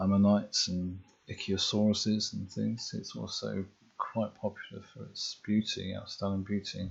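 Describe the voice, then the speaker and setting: At a moderate pace, a man talks in a soft-spoken way. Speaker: ASMR creator. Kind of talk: ASMR geography tour. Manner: softly spoken; hesitant, many fillers.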